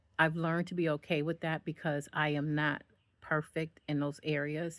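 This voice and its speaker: A woman speaks in a very deep, low voice. Her intonation is monotone and flat. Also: moderate pace. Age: 50s. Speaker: motivational speaker. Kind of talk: casual monologue. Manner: halting; conversational.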